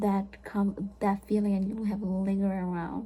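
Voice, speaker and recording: Somewhat breathy and in a dark, mellow tone, a woman speaks at a fairly slow pace. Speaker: vlogger. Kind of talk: casual chat.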